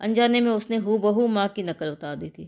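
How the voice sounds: The clip features a natural reading voice.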